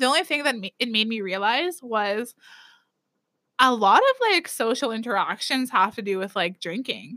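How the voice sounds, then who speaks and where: This woman talks at a moderate pace with a fairly high pitch, lively intonation and a bright, sharp tone. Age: 30s. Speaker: podcast co-host. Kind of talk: casual chat. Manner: laughs often.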